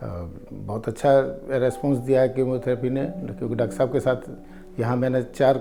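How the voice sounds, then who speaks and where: A man's medium-pitched voice at a moderate pace, monotone and flat, over noticeable background noise. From Lucknow, northern India. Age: 60s. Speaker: cancer patient. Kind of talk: testimony. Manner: halting.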